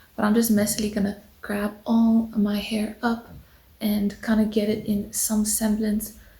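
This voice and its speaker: This is a woman whispering. She keeps to a fairly slow pace. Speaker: beauty vlogger. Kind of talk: tutorial. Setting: at home on the couch. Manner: casual.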